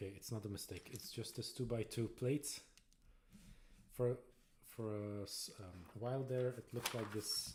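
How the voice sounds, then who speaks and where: The delivery is somewhat breathy, at a moderate pace with fairly even intonation. Long pauses come often. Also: man, medium pitch for a man. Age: 40s. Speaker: Lego builder streamer. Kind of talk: casual live-stream chat while building. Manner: relaxed, chill.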